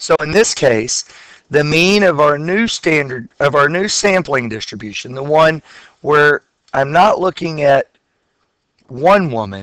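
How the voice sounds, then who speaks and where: Fairly high-pitched and lively in intonation, a man speaks fairly slowly with long, frequent pauses, the sound dry and close with no echo. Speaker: high school statistics teacher. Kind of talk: lecture.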